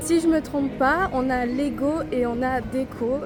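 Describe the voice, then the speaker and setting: A woman with a high pitch speaks as crowd noise carries in the background. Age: 20s. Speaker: vlogger. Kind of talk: casual talk to camera. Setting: outdoors.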